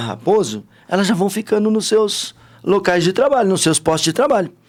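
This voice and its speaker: A man speaks in a high voice with very wide pitch swings. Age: 60s. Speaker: businessman and party politician. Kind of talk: interview. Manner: animated.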